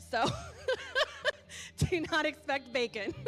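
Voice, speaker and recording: A woman's voice over background music. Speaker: church announcer. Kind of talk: church announcements. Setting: church sanctuary with congregation. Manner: loud; casual, chatty.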